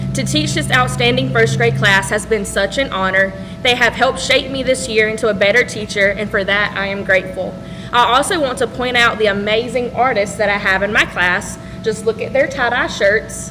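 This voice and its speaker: A woman talks at medium pitch and a moderate pace. Her intonation is lively, and there is noticeable background noise. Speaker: teacher. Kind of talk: ceremony speech. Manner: loud.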